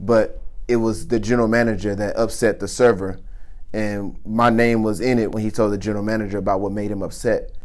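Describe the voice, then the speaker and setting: A man talks at a fairly quick pace in a fairly low voice. Audible room echo surrounds the recording. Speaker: chef. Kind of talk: testimony. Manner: animated.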